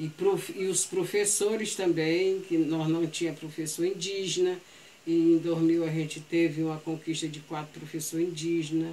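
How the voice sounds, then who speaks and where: At a moderate pace, a woman talks in a fairly low voice with monotone, flat intonation. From Brazil, Ceará (Aquiraz). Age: 70s. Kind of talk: oral history storytelling. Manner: halting.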